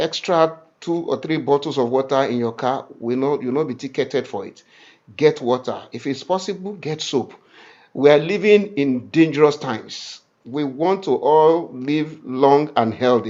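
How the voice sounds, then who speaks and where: With an unremarkable speaking voice, this man talks at a moderate pace in a fairly high pitch and ordinary pitch variation. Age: 60s. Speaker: ministry leader. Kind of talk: info session.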